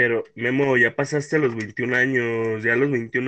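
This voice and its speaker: With a bright, sharp tone, a man speaks at a medium pitch in monotone, flat intonation. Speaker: podcast host. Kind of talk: casual chat.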